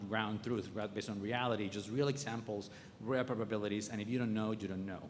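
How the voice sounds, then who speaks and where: A man with a fairly low pitch speaks in a monotone, flat intonation, with audible room echo and noticeable background noise. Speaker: oncologist. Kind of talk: lecture. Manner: fast.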